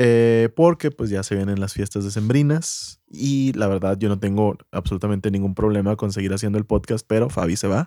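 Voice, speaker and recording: A man's fairly low, dark, mellow voice with a Mexican accent, hardly any pauses and ordinary pitch variation, on a very clean recording with a silent background. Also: moderate pace, dry, close sound with no echo. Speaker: podcast co-host. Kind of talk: casual chat.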